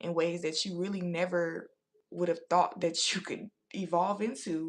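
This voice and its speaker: Her intonation is fairly even, with vocal fry. This woman's pitch is fairly low. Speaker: tarot reader. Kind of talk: live tarot reading. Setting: livestream.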